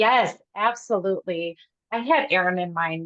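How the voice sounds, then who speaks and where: In an American accent, a woman speaks at a medium pitch with fairly even intonation, in a dry, close sound with no echo. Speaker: event host. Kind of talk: live webinar chat. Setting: video call. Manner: loud.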